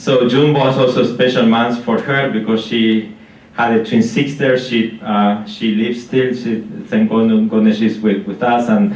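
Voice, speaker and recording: With an Argentine accent, a man speaks fairly slowly and with fairly even intonation, his voice carrying audible room echo. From Argentina. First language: Spanish. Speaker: concert pianist. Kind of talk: spoken introduction at a concert. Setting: stage with live audience in a library. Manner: halting, many fillers and restarts.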